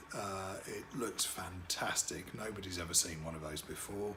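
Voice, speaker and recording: The voice belongs to a man. Room echo can be heard around it. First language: French. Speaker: wedding DJ and MC. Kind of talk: promotional self-introduction to camera. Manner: hesitant, many fillers.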